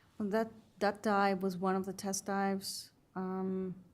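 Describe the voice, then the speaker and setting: Her voice sits at a medium pitch, with a non-native accent. The woman speaks at a fairly slow pace. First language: not English. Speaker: witness at a hearing, former submersible dive participant. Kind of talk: testimony. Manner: halting.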